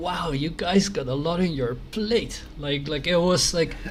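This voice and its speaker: Heard with noticeable background noise and audible room echo, a man with a Dutch accent talks at a fairly high pitch, a moderate pace and ordinary pitch variation. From Netherlands. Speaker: news site host. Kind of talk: interview. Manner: halting.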